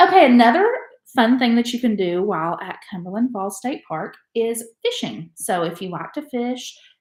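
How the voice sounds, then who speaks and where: This woman speaks at a moderate pace with an American accent. Her fairly high voice swings very widely in pitch. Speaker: travel podcast co-host. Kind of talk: casual chat.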